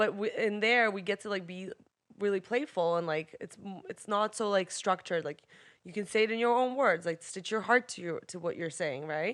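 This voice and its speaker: A woman speaks in a Russian accent at medium pitch and a moderate pace. Her loudness swings widely while her pitch varies in an ordinary way. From Russia and Israel. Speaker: artist and actor. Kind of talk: casual chat. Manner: animated.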